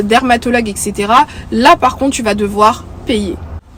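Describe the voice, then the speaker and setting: A woman's fairly high-pitched voice at a fairly slow pace, against noticeable background noise. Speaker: YouTuber. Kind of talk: vlog talk to camera. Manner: many hesitations (euh).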